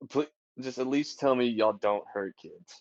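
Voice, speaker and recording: A man's put-on character voice, drawling at a moderate pace in a medium pitch. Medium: actual play. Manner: drawling, folksy.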